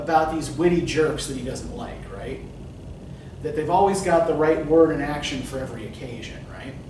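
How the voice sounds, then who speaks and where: A man with a Northeast Pennsylvania accent speaks at a fairly high pitch with fairly even intonation, over noticeable background noise and audible room echo. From Northeast Pennsylvania, US. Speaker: college writing instructor. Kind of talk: lecture. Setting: classroom. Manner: casual, many fillers (um, right?).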